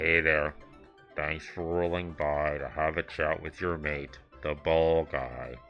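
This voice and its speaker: A man puts on a character voice with a very deep, low pitch and monotone, flat intonation. He speaks at a fairly slow pace over clear music in the background. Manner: friendly, chatty.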